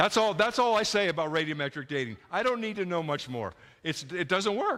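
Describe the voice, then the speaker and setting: High-pitched and bright, with a sharp tone, a man with an American accent talks at a fairly quick pace in an animated tone with lively intonation. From North Dakota (Dickinson). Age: 70s. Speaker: creationist speaker. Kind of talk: lecture. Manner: animated, halting with fillers.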